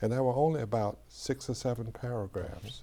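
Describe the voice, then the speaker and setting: At a moderate pace, a man speaks at a medium pitch with ordinary pitch variation and vocal fry. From US South, Atlanta. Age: 70s. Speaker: historian, former professor. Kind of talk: interview. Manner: halting.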